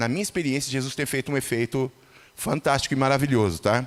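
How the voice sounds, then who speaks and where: A man talks at a very fast pace. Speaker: lay preacher. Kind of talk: sermon. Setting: church.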